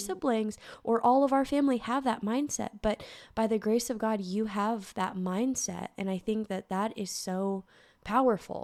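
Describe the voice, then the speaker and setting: Recorded very cleanly against a silent background, a woman talks at a moderate pace in a normal speaking voice, her fairly high pitch moving with ordinary variation. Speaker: podcast host. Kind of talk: podcast interview, casual talk.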